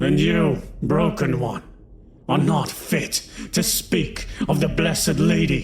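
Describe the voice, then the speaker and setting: Putting on a character voice, a man sounds raspy with a fairly high pitch and very even loudness, moving at a fairly slow pace with long, frequent pauses over clear background noise. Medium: read story. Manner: restrained, defiant.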